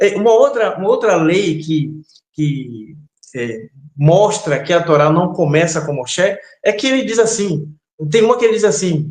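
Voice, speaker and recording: With lively intonation and a moderate pace, a man talks in a room with audible echo. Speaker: religious teacher. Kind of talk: interview. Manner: hesitant, many fillers.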